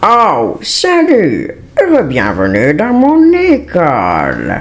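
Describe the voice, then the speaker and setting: A man performs a put-on character voice at a very slow pace. Clear music plays in the background. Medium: fan dub. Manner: falsely friendly, controlling.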